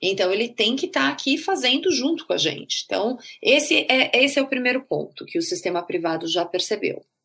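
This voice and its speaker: With vocal fry and very wide pitch swings, a woman talks at a fairly quick pace. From Brazil, São Paulo. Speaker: healthcare marketing executive, patient experience specialist. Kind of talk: interview.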